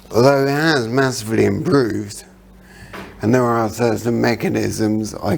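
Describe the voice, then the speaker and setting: Room echo is audible as a man speaks at medium pitch and a fairly slow pace. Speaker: motivational speaker and brain injury survivor. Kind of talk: motivational talk.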